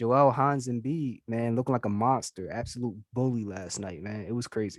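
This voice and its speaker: An ordinary speaking voice at a moderate pace, in a very clean recording with a silent background. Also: man, medium pitch for a man, ordinary pitch variation. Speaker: sports podcast host. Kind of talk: casual sports chat.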